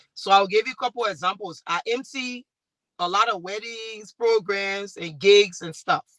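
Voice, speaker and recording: A woman with a Liberian accent has a bright, sharp tone at medium pitch, ordinary pitch variation, and a dry, close sound with no echo. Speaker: talk show host and MC. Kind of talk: panel discussion.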